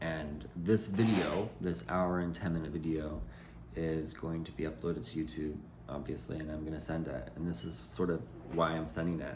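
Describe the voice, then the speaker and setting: The speaker talks at a moderate pace with ordinary pitch variation, and room echo can be heard. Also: man, very deep, low pitch for a man. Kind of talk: personal video message. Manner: loud; halting.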